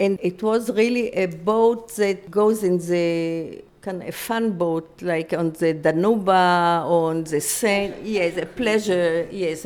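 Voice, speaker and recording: At a medium pitch with ordinary variation, a woman speaks in a dark, mellow tone. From Free City of Danzig, then Mauritius camp. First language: German. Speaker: Holocaust survivor. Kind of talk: testimony interview. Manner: halting.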